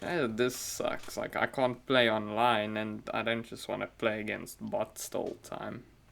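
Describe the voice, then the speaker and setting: A man speaks at a fairly slow pace with hardly any pauses, against noticeable background noise. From South Africa. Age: 20s. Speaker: podcast co-host. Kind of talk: casual chat.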